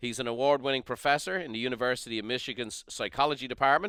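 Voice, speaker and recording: On a very clean recording with a silent background, a man with an Irish accent speaks very fast at a medium pitch, his tone bright and sharp and his pitch variation ordinary. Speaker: podcast host. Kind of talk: interview.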